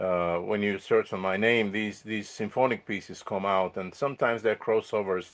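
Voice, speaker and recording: In a Bulgarian accent, a man talks fairly quickly at a fairly low pitch with fairly even intonation against a quiet background. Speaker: musician and composer. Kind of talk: interview. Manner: halting, many repetitions.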